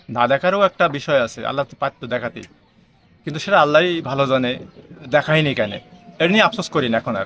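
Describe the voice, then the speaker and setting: A man with a fairly high pitch speaks with lively intonation. The sound is dry and close with no echo, though noticeable background noise is present. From Bangladesh, Chuadanga district. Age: 50s. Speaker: blind mechanic and electrician. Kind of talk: interview.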